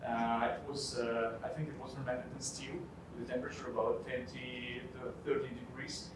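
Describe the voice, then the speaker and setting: Noticeable background noise and audible room echo surround the recording. A man speaks at a moderate pace. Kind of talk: spoken wine tasting assessment. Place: hall. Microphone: camera far.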